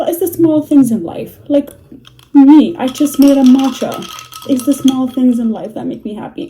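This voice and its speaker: At a moderate pace, a woman with a non-native accent and a high pitch shows ordinary pitch variation and big swings in loudness. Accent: noticeable non-native. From Middle East. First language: not English (Middle Eastern language). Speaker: book vlogger, nursing assistant. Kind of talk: casual vlog monologue. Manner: chatty, with fillers and hesitations.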